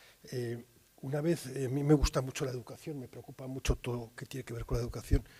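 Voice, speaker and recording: At a fairly quick pace, a man speaks with medium pitch, a dark, mellow tone, vocal fry and fairly even intonation. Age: 60s. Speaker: journalist, war correspondent. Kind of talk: interview at university talk. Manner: hesitant, many fillers.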